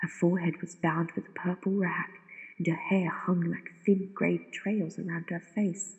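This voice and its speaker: A woman's somewhat breathy whispering at a fairly slow pace. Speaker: narrator. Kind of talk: sleep story. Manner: whispered.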